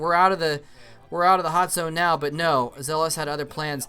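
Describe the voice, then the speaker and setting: At a fairly quick pace, a man speaks with a high pitch and a bright, sharp tone. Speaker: esports commentator. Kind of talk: live game commentary. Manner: animated; stuttering when excited.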